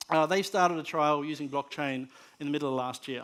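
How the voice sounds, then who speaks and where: A man's fairly high voice with an Australian accent, fairly even intonation and a fairly quick pace. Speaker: conference speaker on media technology. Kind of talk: conference presentation. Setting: stage with audience. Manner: hesitant with many fillers and repetitions.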